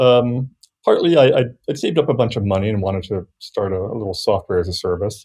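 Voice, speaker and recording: At a very fast pace, a man with a medium pitch speaks in a somewhat breathy voice with ordinary pitch variation. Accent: American. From US, Virginia. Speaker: software developer. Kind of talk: casual chat.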